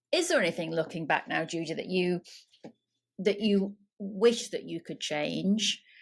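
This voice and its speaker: A woman's medium-pitched voice with vocal fry, ordinary pitch variation, and a fairly slow pace. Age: 50s. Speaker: podcast host. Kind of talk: interview conversation.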